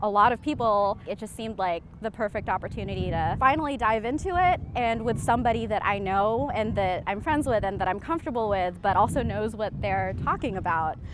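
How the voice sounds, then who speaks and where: A woman talks at a moderate pace and medium pitch. She has a normal speaking voice. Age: 20s. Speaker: documentary subject. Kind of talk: interview.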